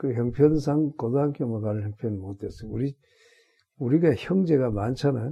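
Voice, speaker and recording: This man talks at a moderate pace in a medium pitch with ordinary pitch variation. His voice is somewhat breathy. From Korea, North Gyeongsang (Gunwi). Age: 80s+. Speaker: retired senior pastor. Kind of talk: interview, life story. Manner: halting, many fillers and restarts.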